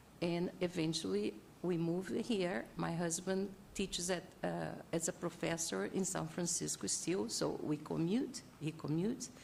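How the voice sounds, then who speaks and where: A woman with a fairly low pitch speaks at a fairly slow pace. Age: 60s. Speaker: public commenter, retired doctor. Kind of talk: public comment at hearing. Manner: halting.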